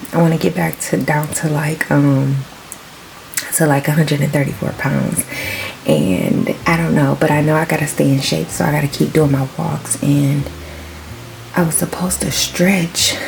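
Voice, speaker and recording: Over music in the background, a woman whispers with long, frequent pauses. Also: moderate pace. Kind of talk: casual vlog. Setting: at home. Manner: whispering.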